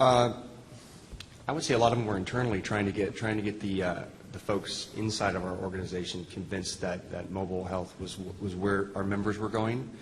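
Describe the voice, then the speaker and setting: Amid noticeable background noise and audible room echo, a man speaks at a fairly quick pace. His pitch is fairly low and his intonation fairly even. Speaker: health system IT executive. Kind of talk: panel discussion. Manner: fast.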